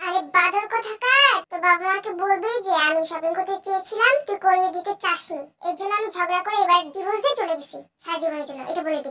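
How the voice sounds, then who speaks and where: Putting on a character voice, a woman talks at a fairly quick pace with an extremely high pitch and big swings in loudness. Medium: audio drama. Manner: bossy, rapid, scolding.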